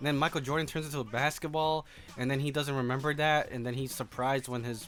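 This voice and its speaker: A man speaks with a fairly high pitch. Music plays behind him. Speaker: movie reviewer. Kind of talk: unscripted movie review. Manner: casual, rambling with fillers.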